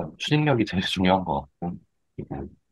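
A man's very deep, low voice with lively intonation at a moderate pace, dry and close with no echo. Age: 30s. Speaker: emoticon artist. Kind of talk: interview.

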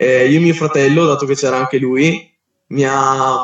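At a moderate pace, a man with an unremarkable speaking voice talks at a fairly high pitch, keeping his intonation fairly even. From Verona, northern Italy. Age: 20s. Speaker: street lifting athlete. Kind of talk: casual chat. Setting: Instagram live. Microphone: poor audio quality.

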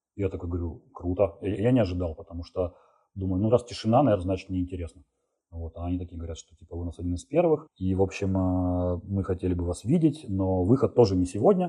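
Over a quiet background, a man with a very deep, low pitch talks at a very fast pace in a somewhat breathy, dark, mellow tone, with ordinary pitch variation. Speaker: software developer. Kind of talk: interview.

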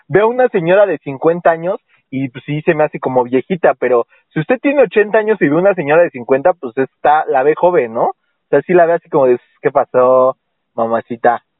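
The intonation is lively and the speed is moderate. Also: man, fairly high pitch for a man. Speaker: podcast host. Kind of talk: casual comedic chat.

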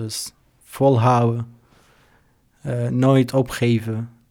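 A man speaks at a very slow pace with an Arabic accent. His intonation stays fairly even. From Syria. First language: Arabic (speaking Dutch). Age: 20s. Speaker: refugee, volunteer. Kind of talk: interview. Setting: studio. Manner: halting, many hesitations.

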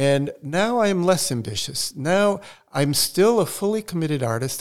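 A man speaks at a moderate pace with a Portuguese accent. His intonation is lively. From Brazil, raised in the US from age seven. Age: 70s. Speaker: photographer and artist. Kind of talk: podcast interview.

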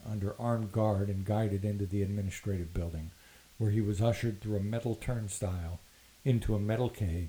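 An unforced reading voice carries the text.

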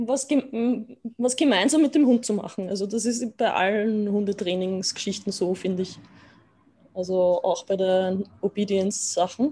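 Her tone is dark and mellow, and somewhat breathy. The woman speaks at a fairly slow pace with ordinary pitch variation. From Austria. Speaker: dog owner and dog sitter. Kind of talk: casual interview chat.

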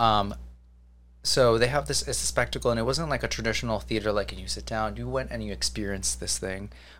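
A man with an American accent talks at a very fast pace in a very deep, low voice, with vocal fry and very wide swings in pitch. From New Jersey, US. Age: 20s. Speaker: theatrical sound designer. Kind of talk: casual chat.

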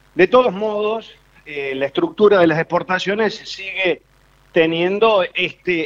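A man speaks at a fairly slow pace. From Córdoba, Argentina. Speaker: foreign trade specialist. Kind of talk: casual chat.

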